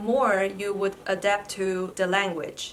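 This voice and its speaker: A woman with a medium pitch speaks over noticeable background noise. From China. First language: Mandarin Chinese. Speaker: vlogger, PhD student. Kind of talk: vlog tutorial.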